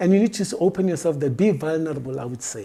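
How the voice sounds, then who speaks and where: The speaker has a Botswana accent. The pace is very fast. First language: Setswana. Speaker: diversity and workplace expert. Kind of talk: interview.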